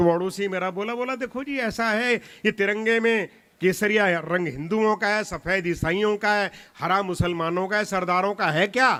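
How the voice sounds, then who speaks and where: Raising and projecting his voice, a man speaks with a high pitch, a bright, sharp tone and ordinary pitch variation. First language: Punjabi (speaking Hindi). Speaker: comic poet. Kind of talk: stage poetry and comedy performance. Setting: stage with audience.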